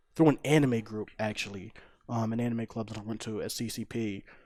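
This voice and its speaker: This is an unremarkable speaking voice: a man with an American accent at a medium pitch. He speaks fairly quickly on a very clean recording with a silent background. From Philadelphia, US. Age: 20s. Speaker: fighting game player. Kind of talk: podcast interview.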